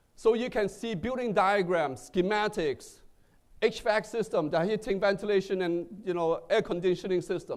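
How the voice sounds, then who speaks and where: Someone with a non-native accent talks at a moderate pace with ordinary pitch variation. The recording is very clean, with a silent background. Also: man, high pitch for a man. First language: not English. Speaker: tech executive. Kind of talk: keynote speech. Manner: halting, with fillers.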